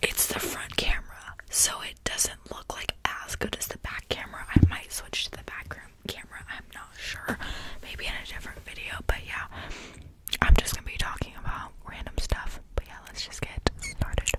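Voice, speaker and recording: Loud noise fills the background while a woman talks at a moderate pace, the sound dry with no echo. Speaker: ASMR YouTuber. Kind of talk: casual vlog chat. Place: home room. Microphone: studio mic.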